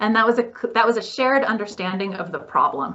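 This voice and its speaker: Fairly high in pitch, a woman talks in an ordinary speaking voice with ordinary pitch variation. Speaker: development program practitioner. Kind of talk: workshop presentation. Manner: conversational, with frequent fillers.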